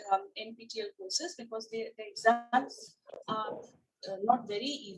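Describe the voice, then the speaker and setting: A woman's high-pitched voice with music in the background. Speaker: college lecturer. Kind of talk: lecture.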